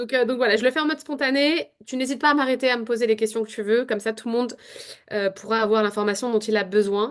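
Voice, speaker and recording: A woman's fairly high pitch in an ordinary speaking voice, at a fairly quick pace with fairly even intonation, over a quiet background. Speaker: work psychologist and agile coach. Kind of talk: casual interview chat.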